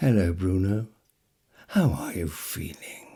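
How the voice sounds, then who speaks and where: Putting on a character voice, a man speaks with a very deep, low pitch and ordinary pitch variation. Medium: read story. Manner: gentle, smiling, unhurried.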